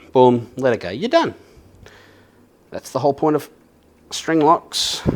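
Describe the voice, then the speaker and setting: Speaking at a fairly slow pace with an Australian accent, a man uses a fairly high pitch with ordinary variation and big swings in loudness. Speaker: YouTuber and bass guitarist. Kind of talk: casual chat while working on a guitar. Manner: relaxed, chatty.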